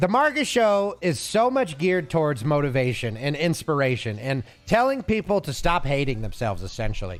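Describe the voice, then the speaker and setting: Loud and animated, a man with an American accent and fairly high pitch speaks at a moderate pace with very wide pitch swings and hardly any pauses. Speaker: streamer. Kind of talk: casual chat.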